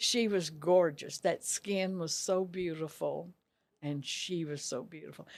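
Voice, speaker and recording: A woman speaks at a fairly low pitch and a fairly slow pace. Her loudness swings widely, while her pitch varies in an ordinary way. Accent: Texan. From Texas, small town Rosebud. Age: 90s. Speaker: retired dress shop owner. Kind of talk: interview.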